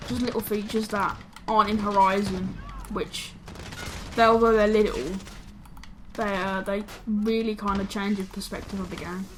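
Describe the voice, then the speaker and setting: Speaking with a British accent at a moderate pace, a woman keeps her intonation fairly even and leaves long, frequent pauses over noticeable background noise. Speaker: gaming YouTuber. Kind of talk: casual chat. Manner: halting.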